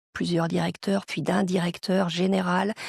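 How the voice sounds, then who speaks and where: A woman with a fairly low pitch speaks. Her voice is somewhat breathy. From France. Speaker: global mobility professional. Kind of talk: interview. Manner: hesitant fillers.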